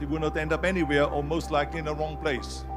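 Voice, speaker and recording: A man speaks fairly quickly while music plays behind him. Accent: Austrian. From Austria. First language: German. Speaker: former bodybuilder, actor and politician. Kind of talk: motivational speech.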